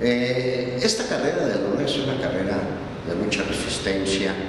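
A man speaks at a fairly slow pace amid noticeable background noise and strong room echo. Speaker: voice actor. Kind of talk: casual talk to camera. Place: classroom.

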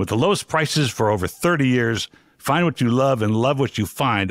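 Someone speaks at a moderate pace with ordinary pitch variation, in a dry sound with no echo over a quiet background. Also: man. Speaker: podcast host. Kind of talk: podcast intro and ad read. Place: studio. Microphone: studio mic.

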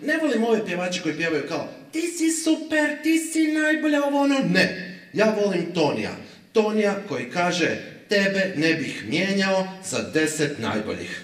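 Very wide pitch swings with audible room echo. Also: man, high pitch for a man, moderate pace. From Zagreb, Croatia; Croatia. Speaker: stand-up comedian. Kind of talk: stand-up. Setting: stage with audience. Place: stage.

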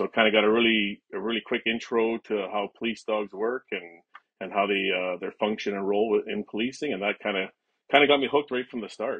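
Against a quiet background, a man speaks at a fairly low pitch with a Canadian accent. His intonation is fairly even, in an unremarkable speaking voice. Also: fairly quick pace. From western Canada. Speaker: police dog handler and trainer. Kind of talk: interview. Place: home room. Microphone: webcam.

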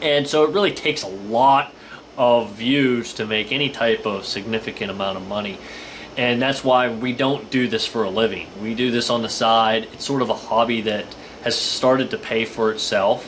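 A man talks at a moderate pace with fairly even intonation. Light background noise sits underneath. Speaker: outdoor channel host. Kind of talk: casual vlog chat. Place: home room. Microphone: webcam.

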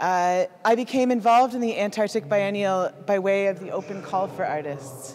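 A woman talks at a fairly slow pace with lively intonation over light background noise. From Canada. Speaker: artist. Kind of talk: presentation with slides. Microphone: handheld.

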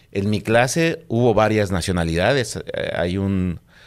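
A man's fairly low voice with ordinary pitch variation over a quiet background. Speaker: police officer; guest. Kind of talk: casual chat. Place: studio. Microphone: studio mic.

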